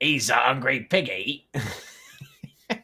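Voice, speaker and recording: In a put-on character voice, a man speaks with a British accent at a medium pitch, his delivery raspy. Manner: menacing, gloating.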